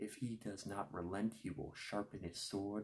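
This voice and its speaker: A man talks at a fairly slow pace in a fairly low pitch. His voice is somewhat breathy. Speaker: ASMR creator. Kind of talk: ASMR scripture reading. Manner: soft-spoken, whispered.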